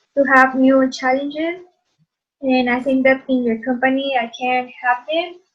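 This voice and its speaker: With a Spanish accent, a woman speaks in a high pitch. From Mexico. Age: 30s. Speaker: job candidate. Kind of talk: role-play job interview.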